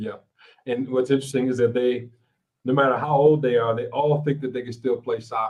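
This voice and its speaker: A man is speaking at medium pitch. His pace is fairly quick. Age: 60s. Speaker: podcast host and professor. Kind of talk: casual chat. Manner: animated.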